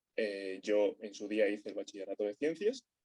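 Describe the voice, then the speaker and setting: A man with a normal speaking voice talks at a moderate pace, medium in pitch and ordinary in pitch variation. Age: 20s. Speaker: physics student. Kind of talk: interview. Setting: remote recording.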